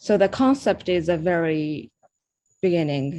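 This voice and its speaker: With a Japanese accent, a woman speaks at a fairly slow pace, her fairly low pitch carried by lively intonation. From Japan, Osaka. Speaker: artist. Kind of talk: interview. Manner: halting.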